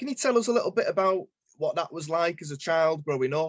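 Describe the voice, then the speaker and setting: A man speaks with a northern English accent and lively intonation. The sound is dry and close with no echo. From northern England. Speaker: podcast host. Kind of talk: interview.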